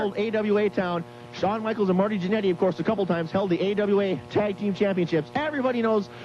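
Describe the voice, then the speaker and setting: With music playing behind him, a man with a high voice and an upbeat tone speaks very fast, his pitch varying in an ordinary way. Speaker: wrestling promotion commissioner promoting events on a radio show. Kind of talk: live radio promo, enthusiastic pitch for wrestling events. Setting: remote broadcast at a store during a charity drive. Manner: fast, upbeat, salesy.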